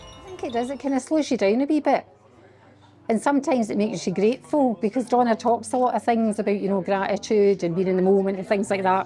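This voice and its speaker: Talking very fast with lively intonation, a woman with a Glaswegian accent has a fairly high pitch. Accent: Glaswegian Scottish. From Scotland, Glasgow. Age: 60s. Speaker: yoga class participant. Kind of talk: interview testimony.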